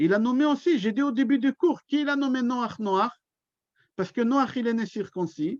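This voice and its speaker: A man talks at an extremely high pitch with ordinary pitch variation. The sound is dry and close, with no echo. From Israel. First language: Hebrew (speaking French). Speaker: rabbi. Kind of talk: religious lecture. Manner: slow.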